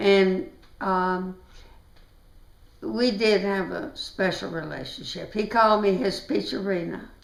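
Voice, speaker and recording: Audible room echo surrounds a woman speaking at a fairly slow pace. She leaves long, frequent pauses. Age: 80s+. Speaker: family elder interviewee. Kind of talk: oral history interview. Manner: halting.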